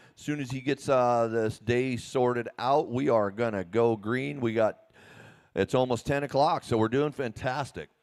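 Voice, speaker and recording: A man speaks at a moderate pace. His voice sits at a medium pitch with ordinary pitch variation. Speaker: race announcer. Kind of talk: live race announcing. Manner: loud.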